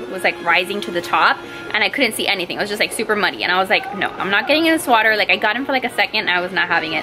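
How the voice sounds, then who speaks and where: Clear music sits in the background while a woman talks. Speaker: vlogger mom. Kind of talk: casual vlog chat. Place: home room. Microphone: phone near.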